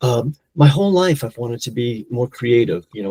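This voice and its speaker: A man speaks with lively intonation and a somewhat breathy voice. The sound is dry and close, with no echo. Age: 60s. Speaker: polyglot and language educator. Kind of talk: podcast interview. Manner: halting, many repeated words.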